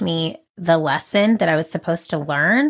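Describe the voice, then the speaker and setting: On a very clean recording where the background is silent, a woman talks with an animated tone. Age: 30s. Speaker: business owner and speaker. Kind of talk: casual interview.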